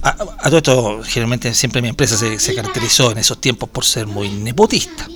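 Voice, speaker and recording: Music plays under a speaker with a Chilean accent who moves at a fairly quick pace with ordinary pitch variation. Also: man. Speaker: radio host. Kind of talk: casual chat. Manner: animated; halting.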